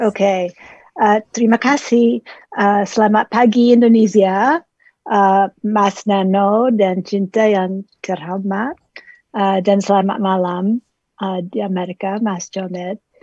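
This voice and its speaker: The voice moves at a very slow pace with a dark, mellow tone and fairly even intonation, in a dry, close sound with no echo. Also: woman, medium pitch for a woman. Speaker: dramaturg and translator. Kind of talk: panel presentation. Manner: halting, many fillers.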